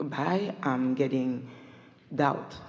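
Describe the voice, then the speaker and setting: A woman with a very deep, low pitch and a dark, mellow tone speaks amid audible room echo. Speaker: audience member at a seminar. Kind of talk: audience question in a live seminar. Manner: slow.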